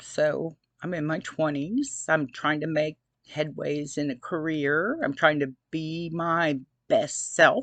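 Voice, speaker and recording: A woman at a very deep, low pitch, very slow pace, and fairly even intonation, against a quiet background. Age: 60s. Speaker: abuse survivor vlogger. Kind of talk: personal testimony. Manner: casual, conversational.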